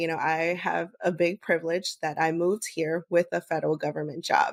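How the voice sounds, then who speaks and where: A woman's fairly low voice in a Spanish accent, fairly quick in pace, with fairly even intonation. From United States, Bolivian family. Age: 30s. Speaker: podcast host and public health worker. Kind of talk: interview. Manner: casual, many fillers.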